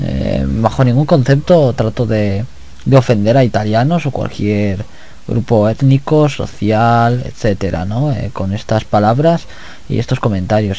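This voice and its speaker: A man's dark, mellow, relaxed voice at a medium pitch, fairly slow in pace, with lively intonation. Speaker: gaming YouTuber. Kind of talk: let's play commentary.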